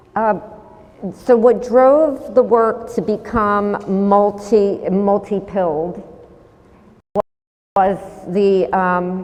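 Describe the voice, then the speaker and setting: A woman's medium-pitched voice with ordinary pitch variation, at a very slow pace broken by long, frequent pauses. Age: 60s. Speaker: painter and sculptor. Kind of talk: artist talk Q&A.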